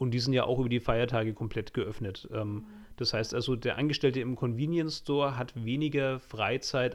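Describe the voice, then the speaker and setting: Using a plain, everyday voice, this man talks with fairly even intonation at a medium pitch and a moderate pace. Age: 30s. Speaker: podcast host, graphic designer. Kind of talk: casual chat.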